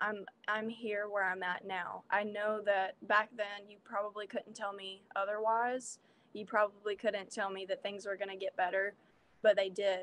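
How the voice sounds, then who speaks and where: With an American accent, a woman delivers a flat monotone marked by big swings in loudness. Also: medium pitch for a woman, moderate pace. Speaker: musician. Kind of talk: interview. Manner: halting.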